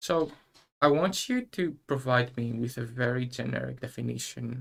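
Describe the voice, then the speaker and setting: A man with a Greek accent speaks at a moderate pace, his medium pitch showing ordinary variation. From Greece. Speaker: university student presenter. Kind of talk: live stream interview. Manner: formal.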